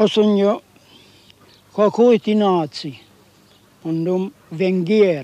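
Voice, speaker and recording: A man speaks at a very slow pace with long, frequent pauses. His voice is high in pitch yet dark and mellow in tone, with a dry sound and no echo. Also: ordinary pitch variation. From Hungary. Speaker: former Soviet labor camp prisoner; witness. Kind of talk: testimony. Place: open country. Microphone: old recording.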